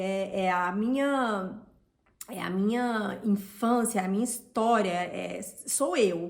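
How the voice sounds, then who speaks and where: There is audible room echo as a woman with a Brazilian accent speaks with ordinary pitch variation. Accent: Brazilian Portuguese accent, kept on purpose. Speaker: vlogger. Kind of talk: personal vlog storytelling. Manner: casual, with filler words.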